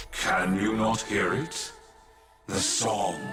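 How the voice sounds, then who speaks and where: A man does a cartoonish character voice at a fairly low pitch, with slight echo and clear music playing in the background. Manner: formal, archaic, stately.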